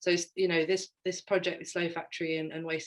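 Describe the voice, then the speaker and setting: Speaking in a London accent, a woman uses a fairly low pitch and a monotone, flat intonation. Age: 30s. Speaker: fashion designer. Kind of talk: slide presentation. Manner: hesitant, many fillers.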